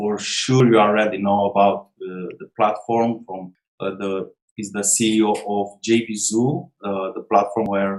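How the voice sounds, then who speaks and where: Spoken at a fairly slow pace with a non-native accent, the voice keeps a fairly even intonation while its loudness swings widely. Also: man, fairly low pitch for a man. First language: not English. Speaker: online marketer interviewer. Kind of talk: interview. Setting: call. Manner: halting, many fillers.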